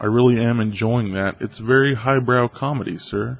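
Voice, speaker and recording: A man speaks at a fairly slow pace. His pitch sits in the medium range. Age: 20s. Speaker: YouTuber. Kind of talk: Q&A video reading viewer comments. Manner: monotone, depressed-sounding.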